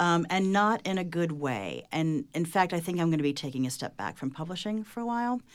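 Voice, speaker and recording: A woman with a plain, everyday voice at a fairly low pitch, fairly quick and with hardly any pauses, with lively intonation on a very clean recording with a silent background. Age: 50s. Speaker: author and journalist. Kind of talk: panel discussion.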